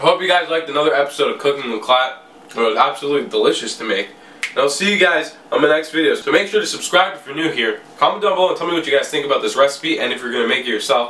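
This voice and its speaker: Speaking at a very fast pace, a man is heard. Audible room echo is present. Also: ordinary pitch variation. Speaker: cooking vlogger. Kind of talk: casual cooking tutorial. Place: kitchen.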